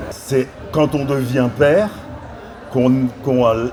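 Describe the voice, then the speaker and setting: There is noticeable background noise. A man speaks very slowly at a medium pitch. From France. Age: 60s. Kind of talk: panel discussion. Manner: hesitant, many fillers.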